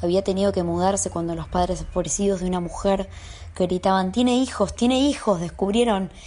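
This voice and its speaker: Here a woman speaks at a fairly quick pace. Her tone is dark and mellow. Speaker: audiobook narrator and guest. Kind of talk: audiobook reading of a literary horror story, then casual chat.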